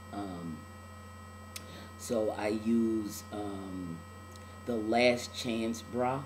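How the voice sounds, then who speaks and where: A man with a fairly low pitch talks very slowly, with fairly even intonation and long, frequent pauses. Noticeable background noise and audible room echo are present. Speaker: video blogger. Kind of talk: video diary. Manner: casual, many filler words.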